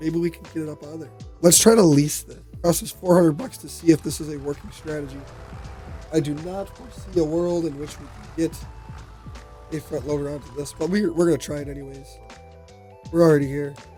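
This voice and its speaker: With music in the background, a man talks at a fairly quick pace, taking long, frequent pauses, his loudness swinging widely. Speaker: gaming YouTuber. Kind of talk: gameplay commentary. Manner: casual, conversational.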